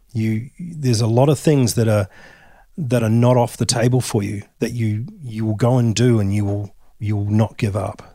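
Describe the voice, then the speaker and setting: Speaking with an Australian accent, a man uses a dark, mellow tone at medium pitch, moving at a moderate pace with ordinary pitch variation on a very clean recording against a silent background. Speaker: whisky distillery founder. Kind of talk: interview. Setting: in-person recording.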